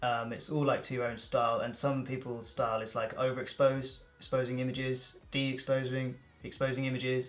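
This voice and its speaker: Over music in the background, a man with a southern English accent speaks fairly quickly in a medium pitch, monotone and flat, with hardly any pauses. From England, Reading, Berkshire. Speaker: YouTuber, photographer. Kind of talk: casual chat.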